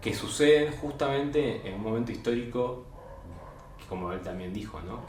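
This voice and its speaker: Amid noticeable background noise and audible room echo, a man speaks with lively intonation and big swings in loudness. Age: 30s. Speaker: interviewer. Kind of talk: interview.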